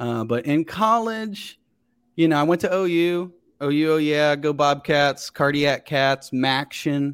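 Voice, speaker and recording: On a very clean recording with a silent background, a man with an ordinary speaking voice talks fairly slowly in an American accent, his fairly high pitch showing ordinary variation. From Ohio, Cincinnati area. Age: 30s. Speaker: actor and comedian. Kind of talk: casual chat.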